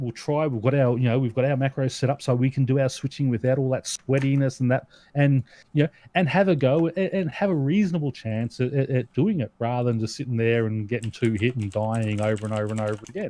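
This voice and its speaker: A man speaks at a very fast pace and medium pitch. His tone is dark and mellow, with ordinary pitch variation. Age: 40s. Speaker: podcast host. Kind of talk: casual chat.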